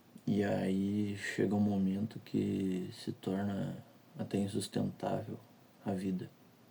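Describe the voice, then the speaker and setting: Quiet and very slow, a man speaks with long, frequent pauses in a flat, monotone line, his fairly low voice dark and mellow. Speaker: vlogger. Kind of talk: personal confessional monologue. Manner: speaking quietly; halting, repeats words. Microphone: audio quality may be poor.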